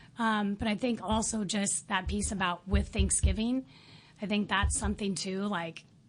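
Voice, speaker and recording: Somewhat breathy, a woman of medium pitch speaks with fairly even intonation. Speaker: parent volunteer. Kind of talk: interview. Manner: fast.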